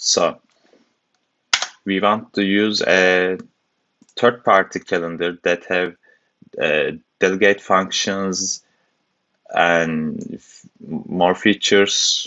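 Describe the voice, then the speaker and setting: Speech with a strong non-native accent moves at a very slow pace, marked by long, frequent pauses. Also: man. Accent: heavy foreign. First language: not English. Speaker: programming tutor. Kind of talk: tutorial. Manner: hesitant, many fillers.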